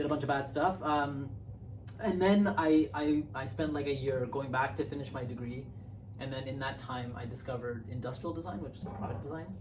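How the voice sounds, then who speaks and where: A man with a Canadian accent talks at a fairly quick pace, his pitch medium with ordinary variation. Noticeable background noise and audible room echo are present. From Canada. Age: 30s. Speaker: user experience designer. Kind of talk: interview. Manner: hesitant, many fillers.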